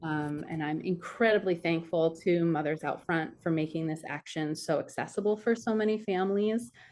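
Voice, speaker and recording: A woman speaks with fairly low pitch. Her intonation stays fairly even. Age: 30s. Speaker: activist mother. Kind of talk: personal testimony on a call. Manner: hesitant, many fillers.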